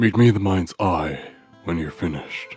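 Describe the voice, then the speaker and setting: A put-on character voice from a man, very deep and low, at a moderate pace, with faint music in the background. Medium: read story. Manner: cryptic, terse.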